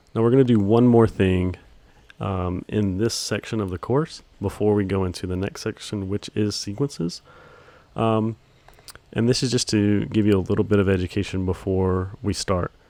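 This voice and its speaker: A man at fairly low pitch, dark and mellow in tone, with fairly even intonation and a moderate pace. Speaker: video editing instructor. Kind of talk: tutorial. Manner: monotone; hesitant with many fillers.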